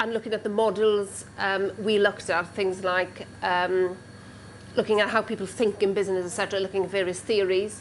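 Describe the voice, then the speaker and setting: A woman with a Welsh accent speaks at a moderate pace and a medium pitch. Her intonation is monotone and flat, with long, frequent pauses. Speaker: caterer and former history teacher. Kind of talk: interview testimony. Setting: working kitchen. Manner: hesitant with frequent ums.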